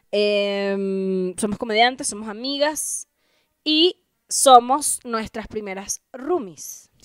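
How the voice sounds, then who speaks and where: Against a quiet background with a dry sound and no echo, a woman with a Venezuelan accent talks at a very slow pace and a fairly high pitch, with lively intonation and big swings in loudness. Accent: Venezuelan Spanish, drops final s. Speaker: comedian and podcast co-host, former radio presenter; comedian, podcast co-host, radio presenter. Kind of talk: casual chat. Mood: playful, joking. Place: home room. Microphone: handheld.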